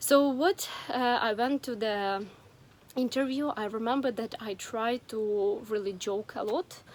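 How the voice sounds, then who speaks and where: A woman's fairly high voice moves at a fairly slow pace, its pitch varying in an ordinary way. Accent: Ukrainian. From Ukraine. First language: Ukrainian or Russian. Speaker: vlogger. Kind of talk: personal story vlog. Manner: hesitant, with many fillers.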